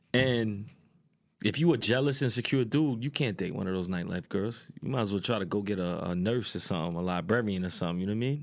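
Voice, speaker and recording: A man talks at a very fast pace with lively intonation. His fairly low voice carries a New York accent. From New York, Queens. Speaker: strip club promoter. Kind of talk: casual chat.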